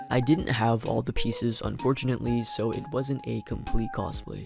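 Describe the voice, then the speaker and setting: A man talks at a moderate pace. Music is playing behind him. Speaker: cosplayer and VTuber. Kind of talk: vlog narration.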